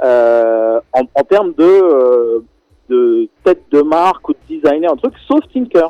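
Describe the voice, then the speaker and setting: Recorded with a dry, close sound and no echo, a man with a fairly high pitch and a dark, mellow tone speaks with lively intonation. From Senegal. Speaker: documentary filmmaker. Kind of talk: radio interview. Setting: phone call. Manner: halting, many repetitions.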